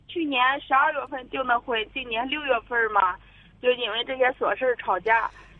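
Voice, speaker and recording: Speaking with a high pitch, a woman moves at a moderate pace and shows ordinary pitch variation. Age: 30s. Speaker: caller seeking family advice. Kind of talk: phone-in advice call. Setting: phone call. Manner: quiet.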